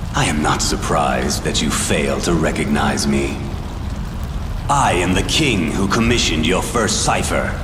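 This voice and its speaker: A man's cartoonish character voice at a moderate pace, with clear echo and loud background noise. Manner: haughty, archaic.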